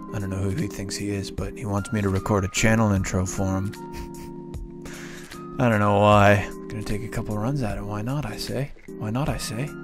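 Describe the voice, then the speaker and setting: A man with a fairly low pitch talks at a fairly quick pace with ordinary pitch variation, taking long, frequent pauses. The sound is dry with no echo, and clear music plays in the background. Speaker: beginner voice actor. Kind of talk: casual talk to camera. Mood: playful, puzzled. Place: home room. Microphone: studio mic.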